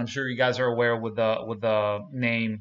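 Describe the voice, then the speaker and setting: The pace stays moderate. The speaker is a man. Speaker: reaction video host. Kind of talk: casual commentary. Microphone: webcam.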